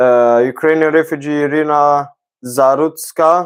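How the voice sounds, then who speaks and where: Speech comes in a non-native accent. It moves very slowly. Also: man. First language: not English. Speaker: talk show host. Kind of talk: casual livestream monologue. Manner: halting, many fillers. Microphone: own mic close by.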